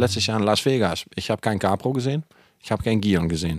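A man with a Dutch accent talks at a very fast pace and a fairly low pitch, the sound dry and close with no echo. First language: Dutch (speaking German). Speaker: podcast co-host, cosmetics company. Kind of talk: casual chat. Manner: halting.

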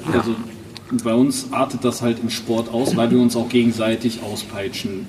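At a fairly quick pace, a man speaks in a monotone, flat intonation at medium pitch. Noticeable background noise is present. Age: 30s. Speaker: prosthesis wearer and athlete. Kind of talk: casual chat.

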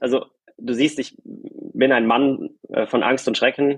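An ordinary speaking voice delivers its words with fairly even intonation. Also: man. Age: young. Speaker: doctoral law student. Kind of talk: casual chat. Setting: video call.

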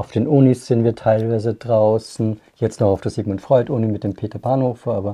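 A man with a dark, mellow tone and a medium pitch speaks with hardly any pauses and fairly even intonation over a quiet background. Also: moderate pace. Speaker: podcast host. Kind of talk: casual chat; scripted narration.

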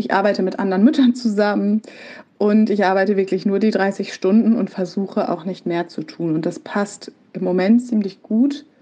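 Her voice has a medium pitch and a dark, mellow tone. The woman speaks at a moderate pace with ordinary pitch variation. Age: 30s. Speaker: project manager. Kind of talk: pre-recorded personal testimony.

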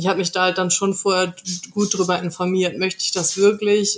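At a moderate pace, a woman speaks in a flat monotone at a medium pitch. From North Rhine-Westphalia, Germany. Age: 20s. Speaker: podcast guest sharing personal experience. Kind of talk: interview, personal testimony. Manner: hesitant with many fillers.

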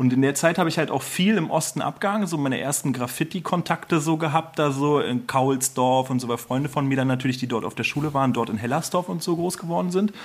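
A man talks at a very fast pace. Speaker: lawyer. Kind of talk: casual chat.

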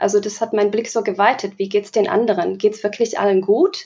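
A woman speaks with a dark, mellow tone. Her pitch moves in an ordinary way. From Slovakia. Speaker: diversity educator. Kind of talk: podcast interview.

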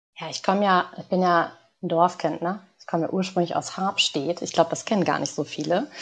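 Using an ordinary speaking voice, a woman talks at a fairly quick pace with fairly low pitch and fairly even intonation. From northern Germany, Lower Saxony village. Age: 20s. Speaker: organisational psychologist. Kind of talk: podcast interview.

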